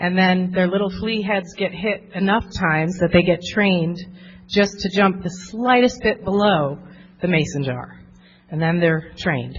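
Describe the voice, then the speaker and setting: Here a woman has a normal speaking voice and an American accent, talking at a moderate pace with medium pitch and ordinary pitch variation. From New Jersey. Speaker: therapist. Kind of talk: workshop talk.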